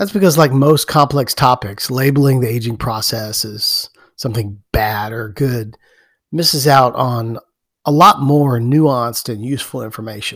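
In a very clean recording with a silent background, a man uses a normal speaking voice with ordinary pitch variation. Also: medium pitch for a man, moderate pace. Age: 50s. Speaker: podcast host and jiu-jitsu practitioner. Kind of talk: solo podcast monologue.

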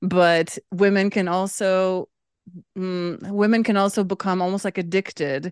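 A woman's ordinary speaking voice, medium in pitch and at a fairly slow pace, with a dry, close sound with no echo and a quiet background. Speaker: podcast co-host. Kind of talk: casual chat. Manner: laughs often.

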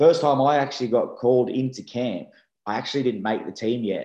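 Speaking with an Australian accent, a man has a dark, mellow tone, ordinary pitch variation and a moderate pace. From Australia, Sydney. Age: 30s. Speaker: rugby league player. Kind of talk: casual interview. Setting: video call.

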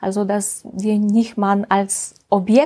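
A woman with a Russian accent. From Russia, Ural region. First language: Russian (speaking German). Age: 50s. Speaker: health mediator and project coordinator. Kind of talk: interview. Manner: halting.

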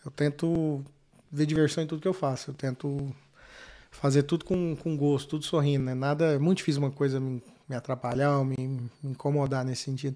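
On a very clean recording with a silent background, a man with a dark, mellow tone speaks at a fairly high pitch and a moderate pace. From Brazil, Goiânia. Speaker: businessman and knife maker. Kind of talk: casual interview.

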